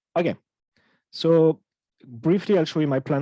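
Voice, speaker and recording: A man with a French accent talks at a fairly quick pace in a dark, mellow tone with fairly even intonation, the sound dry and close with no echo. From France. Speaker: audio research engineer. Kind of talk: technical lecture. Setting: talk with live interpreter. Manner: halting, many fillers.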